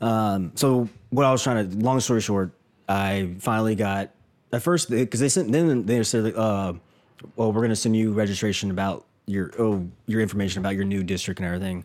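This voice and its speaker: This man has a normal speaking voice with a fairly low pitch and ordinary pitch variation. His pace is fairly quick. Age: 30s. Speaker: podcast co-host. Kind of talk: casual chat.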